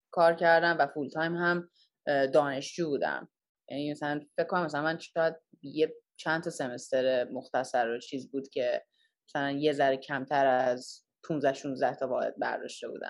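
The background is quiet. A woman speaks with a very deep, low pitch. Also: moderate pace. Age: 20s. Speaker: product design engineer. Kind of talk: casual interview.

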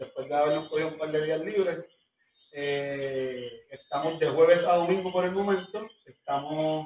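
A man with an ordinary speaking voice talks at a fairly slow pace. His pitch is fairly high and his intonation fairly even. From Puerto Rico. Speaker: restaurant owner. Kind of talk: interview.

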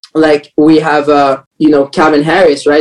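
The voice belongs to a man with a fairly high pitch. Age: 20s. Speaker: entrepreneur, social media marketer and community host. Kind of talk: podcast interview. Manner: energetic.

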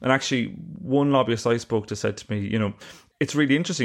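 With an Irish accent, a man speaks at a very fast pace over a quiet background. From Ireland. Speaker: investigative journalist and author. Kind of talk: casual interview. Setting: remote interview from Glasgow.

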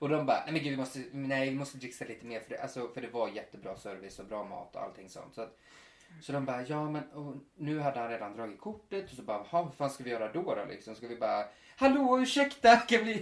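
A man's very fast, fairly high-pitched delivery with lively intonation and big swings in loudness. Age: 30s. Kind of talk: casual chat. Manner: animated.

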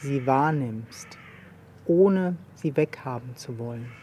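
A calm tone amid noticeable background noise. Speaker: meditation teacher. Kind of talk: guided meditation. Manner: soft, slow, calm with long pauses.

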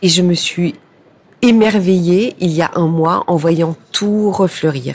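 A plain, everyday voice from a woman, fairly low in pitch, with ordinary pitch variation. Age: 50s. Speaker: public relations director in fashion. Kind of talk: interview.

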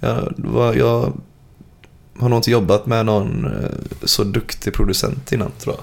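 A man talks at a medium pitch and a fairly slow pace. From Gothenburg, Sweden (Frölunda). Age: 20s. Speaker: metal band singer. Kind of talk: casual interview chat.

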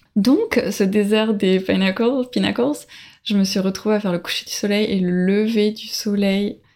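Speaking at a fairly slow pace, a woman with an ordinary speaking voice keeps a medium pitch and fairly even intonation. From France, Bordeaux. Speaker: early childhood educator and traveller. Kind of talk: interview testimony.

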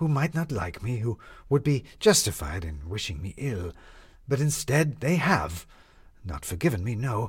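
Unforced voice, read aloud.

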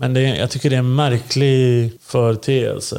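Dark and mellow in tone, a man's voice moves along at a moderate pace. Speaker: podcast co-host. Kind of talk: casual chat. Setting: recording in Linköping.

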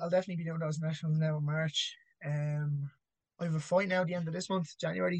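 At a very fast pace, a man with an Irish accent talks in a fairly high pitch. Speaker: amateur MMA fighter. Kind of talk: casual chat.

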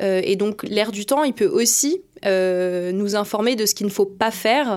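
A woman is talking. The pitch of her voice is medium. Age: 20s. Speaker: strategic planner in advertising. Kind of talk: interview. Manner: hesitant, many fillers.

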